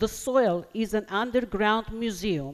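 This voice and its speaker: A woman with an Armenian accent, speaking at a fairly slow pace. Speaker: poet. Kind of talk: poetry reading.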